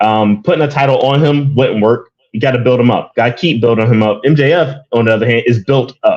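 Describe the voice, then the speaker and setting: In a plain, everyday voice, a man talks at a medium pitch and fairly quick pace, with ordinary pitch variation, very even loudness and hardly any pauses. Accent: American. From US, Philadelphia. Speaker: guest co-host, wrestling fan. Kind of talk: casual chat.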